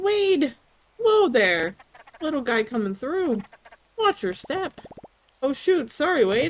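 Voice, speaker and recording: A woman uses a put-on character voice, high-pitched with very wide pitch swings. She moves at a fairly slow pace with long, frequent pauses. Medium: virtual streamer. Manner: cheerful, goofy.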